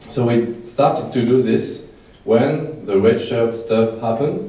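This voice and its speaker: A man at a very slow pace with a French accent, very even loudness and fairly even intonation, in audible room echo. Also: medium pitch for a man. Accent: non-native English, French. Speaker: short filmmaker. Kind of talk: festival Q&A. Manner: halting.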